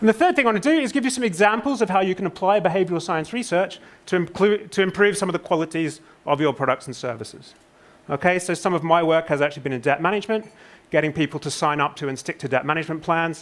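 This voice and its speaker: In a British accent, a high-pitched man talks at a very fast pace with lively intonation. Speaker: conference speaker, social psychologist. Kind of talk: conference presentation.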